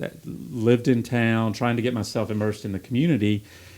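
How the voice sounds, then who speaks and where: A man with a slight Southern US accent talks at a moderate pace and medium pitch. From US South, Taylors, upstate South Carolina. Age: 50s. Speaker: gym member. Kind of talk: casual podcast chat.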